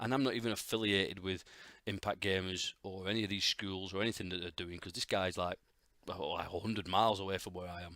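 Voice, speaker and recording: A man's very deep, low voice with a bright, sharp tone, at a very fast pace on a very clean recording with a silent background. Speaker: podcast host, game developer. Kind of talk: solo podcast monologue. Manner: casual, halting with fillers.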